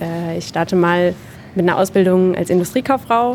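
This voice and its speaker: A woman with a plain, everyday voice at a medium pitch and a moderate pace. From southern Hesse, Germany. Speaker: apprenticeship marketing staff. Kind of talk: interview. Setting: on-site at company open evening.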